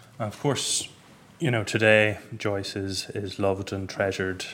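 A fairly low-pitched man's voice with an Irish accent, at a moderate pace. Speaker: books journalist hosting event. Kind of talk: moderated book event interview. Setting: stage with audience.

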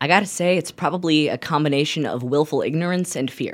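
A woman speaks at a fairly quick pace. The recording is very clean with a silent background. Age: young. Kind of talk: radio interview.

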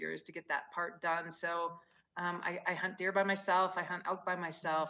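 Here is a woman with an American accent and a fairly low pitch. Her tone is bright and sharp, and her pace is moderate. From Gunnison, Colorado. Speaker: founder of women's hunting apparel company. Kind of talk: casual chat. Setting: video call.

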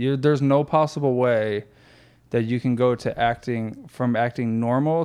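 A man with an unremarkable speaking voice talks at medium pitch and a moderate pace, with ordinary pitch variation against a quiet background. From Florida. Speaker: former pro baseball player, athletic facility owner. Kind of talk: casual chat. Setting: office.

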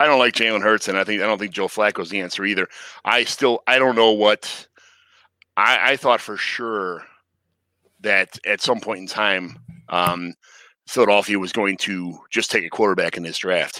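A man with an American accent, fairly low pitch, a bright, sharp tone and fairly even intonation, at a moderate pace with long, frequent pauses, dry and close with no echo. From Chicago. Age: 40s. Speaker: fantasy football league commissioner. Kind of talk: casual chat.

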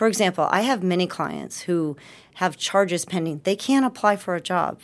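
At a fairly quick pace, a woman speaks in a fairly low pitch with ordinary pitch variation. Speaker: defense attorney. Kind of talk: interview. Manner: fast.

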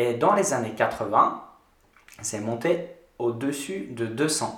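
The recording carries audible room echo and noticeable background noise. Through it, a man talks. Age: 30s. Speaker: yoga podcast guest discussing consciousness. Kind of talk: casual chat. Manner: halting, frequent hesitations.

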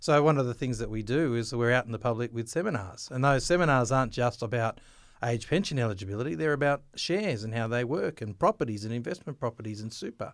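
This man talks at a very fast pace with hardly any pauses. He has an Australian accent and ordinary pitch variation. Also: medium pitch for a man. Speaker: government financial information officer. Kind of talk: interview.

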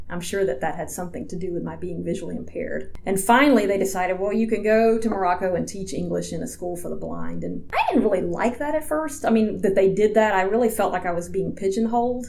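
A woman talks at a very fast pace with hardly any pauses. Noticeable background noise runs beneath her. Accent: American. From US South, Georgia. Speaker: statistician and rehabilitation counselor. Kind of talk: interview.

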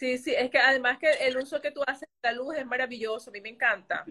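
A woman speaks in a raised, projected voice at a fairly quick pace, her tone bright and sharp and her pitch high. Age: 40s. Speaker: podcast host and fashion brand owner. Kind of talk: interview.

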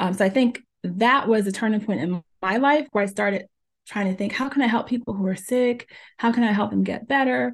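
A woman speaks at a fairly high pitch and a fairly quick pace, her voice somewhat breathy. Her intonation is lively against a quiet background. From New Jersey (born in Jamaica). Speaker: pharmacist and health coach. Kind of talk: interview.

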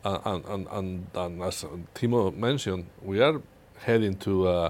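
Very deep and low in pitch, a man with a Spanish accent speaks with ordinary pitch variation. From Spain. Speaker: security strategist. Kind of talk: panel discussion. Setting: studio.

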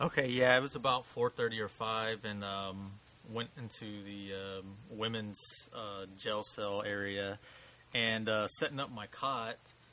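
A man with an American accent has a plain, everyday voice at a fairly low pitch. He talks at a fairly slow pace with fairly even intonation. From Houston, Texas. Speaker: paranormal investigator.

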